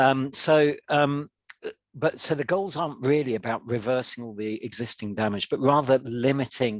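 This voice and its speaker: Against a quiet background, a man talks at a moderate pace in an ordinary speaking voice. He has a medium pitch with ordinary pitch variation. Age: 60s. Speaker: charity head of policy. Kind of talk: panel Q&A webinar.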